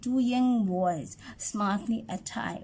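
Somewhat breathy, with a dark, mellow tone, a woman speaks at a very slow pace with ordinary pitch variation. Light background noise is present. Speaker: teacher or tutor reading a text. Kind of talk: reading aloud for a lesson. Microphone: phone near.

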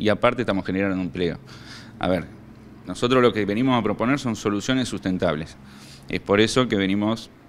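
Fairly quick pace from a man with a fairly low pitch, ordinary pitch variation, long, frequent pauses, and light background noise. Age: 30s. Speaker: local mayoral candidate; candidate. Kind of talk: campaign interview statement. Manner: hesitant fillers (eh). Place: meeting room. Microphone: handheld.

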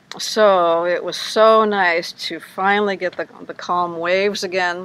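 Her delivery monotone and flat, a woman speaks in a dry sound with no echo. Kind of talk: casual livestream chat. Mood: cheerful, relaxed. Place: boat. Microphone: phone near.

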